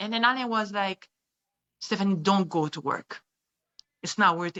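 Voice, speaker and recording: A woman with a French accent speaks at a moderate pace in a medium pitch, with ordinary pitch variation. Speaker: kidnapping survivor. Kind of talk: testimony. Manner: halting.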